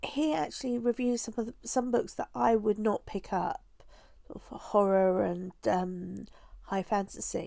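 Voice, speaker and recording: In a very clean recording with a silent background, a woman's voice is heard. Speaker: booktuber. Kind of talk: casual vlog talk to camera. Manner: slow; hesitant, many fillers.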